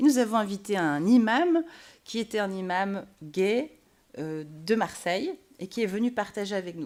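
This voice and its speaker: On a very clean recording with a silent background, a woman speaks at a moderate pace with a medium pitch and lively intonation. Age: 30s. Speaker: pastor. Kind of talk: panel debate. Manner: halting.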